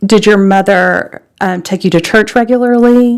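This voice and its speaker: The voice carries a Southern US accent. Its pitch variation is ordinary. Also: woman. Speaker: church interviewer. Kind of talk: interview. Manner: halting.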